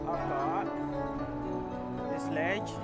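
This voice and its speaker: A man's voice, dry with no echo, over loud background music. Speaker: vlogger skater. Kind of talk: casual vlog chat. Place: street. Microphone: phone near.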